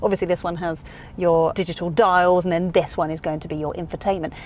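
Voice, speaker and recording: A woman speaks over light background noise. The sound is dry, with no echo. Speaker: car reviewer. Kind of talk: review presentation. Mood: playful, humorous. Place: car. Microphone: lapel.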